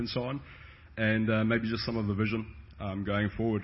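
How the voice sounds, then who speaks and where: The accent is South African. The pace is fairly quick. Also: man. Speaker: pastor. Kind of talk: testimony.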